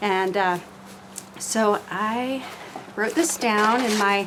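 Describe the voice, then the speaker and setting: There is noticeable background noise as a woman speaks at a very slow pace. Her fairly high voice shows ordinary pitch variation. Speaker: poet. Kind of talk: casual vlog talk; poetry reading. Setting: outdoors on screened-in porch, cold. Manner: halting, many fillers.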